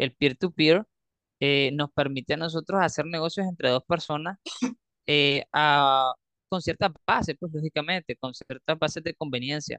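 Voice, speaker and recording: An ordinary speaking voice, a man at a fairly high pitch with fairly even intonation, fairly slow pace, and a dry, close sound with no echo. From Nicaragua. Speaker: crypto community leader. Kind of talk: interview. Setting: remote call.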